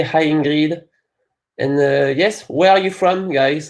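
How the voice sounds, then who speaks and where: A man with a French accent, fairly high in pitch, at a very slow pace and with fairly even intonation. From France. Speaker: company partner team representative, webinar presenter. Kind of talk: webinar presentation. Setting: online webinar.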